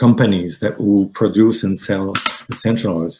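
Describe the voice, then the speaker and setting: Speaking in a Quebec accent, a man with a dark, mellow tone and fairly low pitch keeps a fairly slow pace. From Quebec, Canada. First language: French. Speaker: aromatherapy student. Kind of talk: interview. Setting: live stream. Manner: halting, many fillers.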